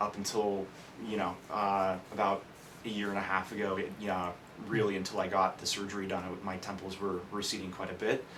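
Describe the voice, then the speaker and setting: Audible room echo surrounds a man with an American accent who speaks fairly quickly in a monotone, flat way at a fairly low pitch. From California, Bay Area. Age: 20s. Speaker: hair transplant patient. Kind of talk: testimony. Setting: stage with audience. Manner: halting, many fillers.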